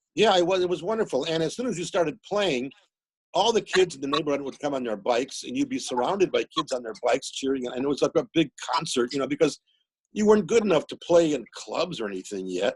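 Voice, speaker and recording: Speaking at a very fast pace with lively intonation and vocal fry, a man with a fairly high pitch is heard in a dry, close recording with no echo. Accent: American. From US Midwest, Milwaukee. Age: 60s. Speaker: musician and author. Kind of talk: casual interview chat.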